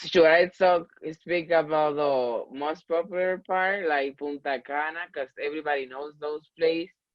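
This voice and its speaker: A Spanish accent colors this speech. It unfolds fairly slowly. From Dominican Republic. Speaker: student government vice president. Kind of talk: interview. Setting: video call. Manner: halting.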